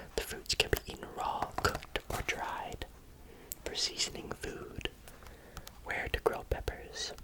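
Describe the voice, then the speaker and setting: A man whispers at a fairly slow pace. Noticeable background noise sits behind him. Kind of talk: ASMR book reading. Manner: whispered; soft, slow, relaxing.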